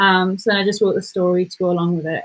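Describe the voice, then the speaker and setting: An English accent colors this voice. It belongs to a woman. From England. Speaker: content writer. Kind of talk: casual chat; reading aloud.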